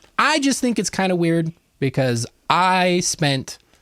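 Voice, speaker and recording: Heard in a very clean recording with a silent background and a dry, close sound with no echo, a man with a Western US accent talks at a fairly slow pace with lively intonation. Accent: Western American. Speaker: podcast co-host. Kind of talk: casual commentary chat.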